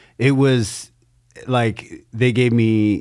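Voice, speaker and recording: A man with a medium pitch has an unremarkable speaking voice and fairly even intonation. The recording is very clean, with a silent background. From Canada. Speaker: comedian co-host. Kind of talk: casual chat.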